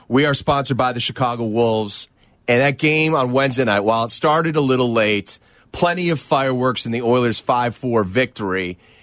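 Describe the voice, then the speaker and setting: Speaking in an animated tone, a man keeps a fairly quick pace. His medium pitch shows ordinary variation. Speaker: radio host. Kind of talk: radio show hosting and interviewing. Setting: radio studio. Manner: animated, fluent broadcaster.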